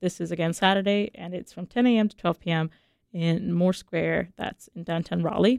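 A woman talks in a normal speaking voice at a moderate pace. Her pitch sits fairly low. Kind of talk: radio DJ patter, station ID and song back-announcements. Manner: relaxed, friendly, upbeat, with filler 'uh' and casual asides.

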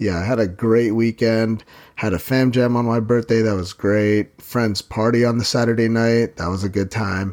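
This is an unremarkable speaking voice at a moderate pace. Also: man, medium pitch for a man, fairly even intonation. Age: 30s. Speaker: fitness podcast host and trainer. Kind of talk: casual solo podcast monologue.

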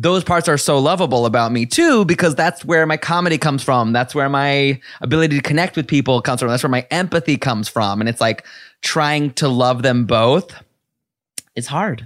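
A man's normal speaking voice, fairly high in pitch, at a fairly quick pace with ordinary pitch variation. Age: 30s. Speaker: podcast host. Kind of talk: casual chat.

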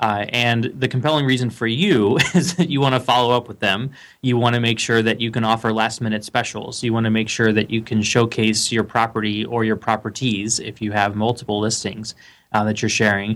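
In a very clean recording with a silent background, a man with a medium pitch and an unremarkable speaking voice talks at a fairly quick pace with fairly even intonation. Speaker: lead generation expert. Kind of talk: interview.

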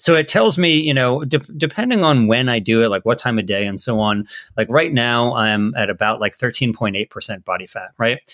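This man has a normal speaking voice at medium pitch, with ordinary pitch variation, a fairly quick pace and hardly any pauses. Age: 40s. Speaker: podcast host. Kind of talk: interview. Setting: video call.

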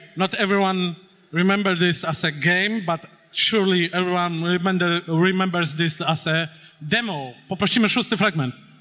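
With a Polish accent, a man speaks in a high pitch, with fairly even intonation and very even loudness. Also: moderate pace. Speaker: panel moderator. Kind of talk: stage interview. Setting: stage with audience.

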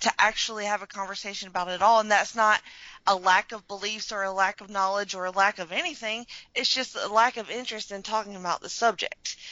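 A woman speaks with a Southern US accent and a fairly high pitch. Her pace is fairly quick. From Alabama. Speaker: podcast host. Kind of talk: casual chat; scripted introduction.

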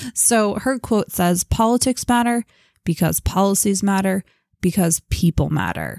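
Here a woman uses a normal speaking voice at medium pitch, with ordinary pitch variation and a fairly slow pace. Her loudness is very even, and the sound is dry and close with no echo. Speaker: podcast co-host. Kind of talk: casual podcast discussion.

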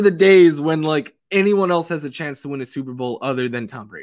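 In a very clean recording with a silent background, a man with an American accent and an unremarkable speaking voice talks at a fairly high pitch with lively intonation. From New York City. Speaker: fantasy football analyst. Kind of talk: casual chat.

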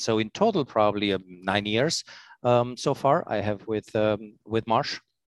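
A man with a non-native accent, fairly low in pitch and fairly slow, with fairly even intonation, a dry, close sound with no echo and a quiet background. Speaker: corporate operations executive. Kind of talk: interview. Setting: remote recording. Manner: halting, many fillers.

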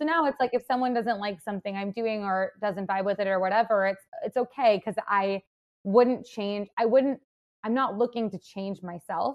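A woman speaks with an American accent at a moderate pace. Hers is an unremarkable speaking voice. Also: medium pitch for a woman, ordinary pitch variation. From US Midwest, Madison, Wisconsin. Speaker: content creator and wellness entrepreneur. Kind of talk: casual interview chat.

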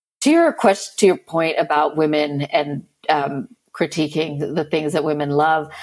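This woman's voice is very deep and low. Her intonation stays fairly even. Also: moderate pace. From Philippines and Northwest Arkansas. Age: 30s. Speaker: podcaster on purity culture. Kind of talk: interview conversation. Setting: video call.

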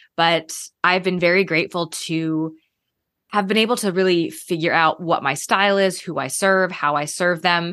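Medium pitch and a moderate pace from a woman with a plain, everyday voice, over a quiet background. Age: 30s. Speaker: interior designer. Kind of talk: casual chat.

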